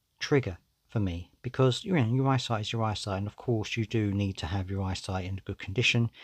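Here a man talks in an unremarkable speaking voice at a fairly quick pace. His medium pitch shows ordinary pitch variation. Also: quiet background. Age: 40s. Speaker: podcast host. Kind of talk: solo podcast monologue. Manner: casual, conversational.

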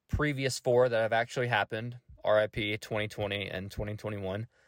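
In a Tennessee accent, a man talks at a moderate pace, the sound dry and close with no echo, the recording very clean against a silent background. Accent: Southern US (Tennessee). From Middle Tennessee. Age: 20s. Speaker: podcast host. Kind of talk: casual solo monologue.

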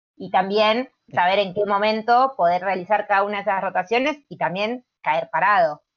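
In a Rioplatense accent, a woman speaks at a moderate pace with hardly any pauses, her medium pitch showing ordinary variation while her loudness swings widely. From Buenos Aires, Argentina. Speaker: gymnastics coach and PE teacher. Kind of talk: casual chat.

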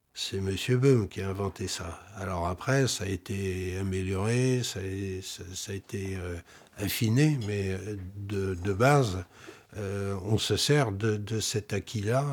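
This man talks very slowly in a fairly low voice, its pitch moving in an ordinary way. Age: 60s. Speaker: flute maker. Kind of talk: documentary interview. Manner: halting, many repetitions.

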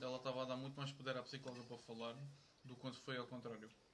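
A man speaks at a medium pitch in a monotone, flat way. Noticeable background noise and audible room echo surround him. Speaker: university friend. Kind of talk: casual chat.

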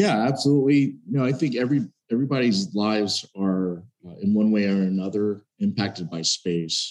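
Speaking fairly quickly with an American accent, a man uses a fairly low pitch with ordinary pitch variation. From Texas (Dallas). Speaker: aerospace company executive, military veteran. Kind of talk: interview. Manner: hesitant, many fillers.

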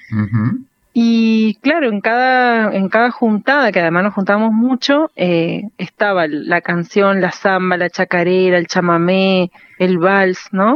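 A woman's very slow delivery with lively intonation. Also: medium pitch for a woman, very even loudness. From Argentina, Entre Ríos (Paraná). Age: young. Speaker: singer and music teacher. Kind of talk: radio interview. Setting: phone call.

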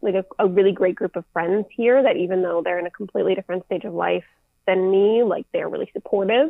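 This woman uses a plain, everyday voice at a medium pitch. She talks fairly fast, and her pitch varies in an ordinary way. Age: 20s. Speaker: travel content creator. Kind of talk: casual interview chat.

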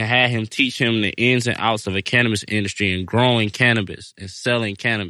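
A man talks at a fairly quick pace in a normal speaking voice, medium in pitch with ordinary pitch variation. The background is quiet. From Detroit, Michigan. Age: 20s. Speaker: cannabis grower. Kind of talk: casual interview.

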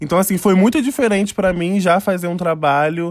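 Very clean recording, silent background, and a man speaking. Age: 20s. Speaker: fashion designer and costume maker, podcast co-host. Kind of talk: casual chat.

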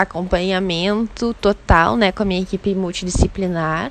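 At a fairly slow pace and with fairly even intonation, a woman speaks over noticeable background noise. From southern Brazil. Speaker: rhythmic gymnast. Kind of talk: interview.

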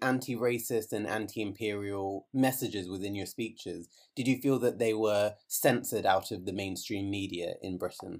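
Here is a man with a plain, everyday voice at a medium pitch. He talks at a moderate pace with ordinary pitch variation and hardly any pauses. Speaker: podcast host. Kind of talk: interview. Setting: remote call.

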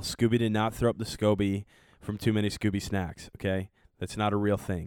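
A man with an unremarkable speaking voice talks at a moderate pace in a fairly low pitch. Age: 20s. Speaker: podcast co-host. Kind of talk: casual chat; faith teaching.

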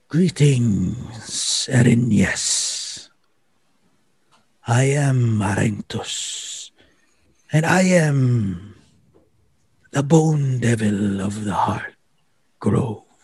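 A man's put-on character voice at medium pitch, very slow in pace, with long, frequent pauses. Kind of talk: sinister fantasy villain voice. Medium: actual play. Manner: formal, cold, menacing.

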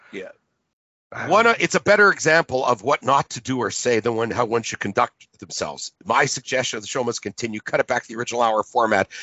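A man with a Canadian accent talks at a very fast pace. His medium-pitched voice has lively intonation. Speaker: talk show host. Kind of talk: podcast talk show. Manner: halting.

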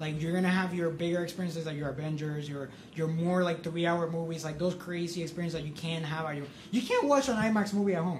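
Very fast speech from a man, high in pitch with ordinary variation, amid audible room echo and noticeable background noise. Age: 20s. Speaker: podcast co-host, student film festival marketer. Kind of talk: casual chat.

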